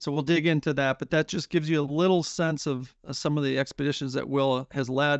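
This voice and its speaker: A man talks at a fairly quick pace with fairly even intonation and a fairly high pitch. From Minnesota. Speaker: podcast host. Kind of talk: interview. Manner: halting, many fillers.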